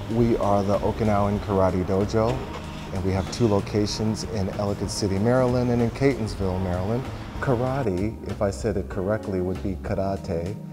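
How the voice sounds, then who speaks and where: With music in the background, a man talks at a moderate pace in a fairly low pitch, using ordinary pitch variation. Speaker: karate instructor. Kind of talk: interview answer. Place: gym.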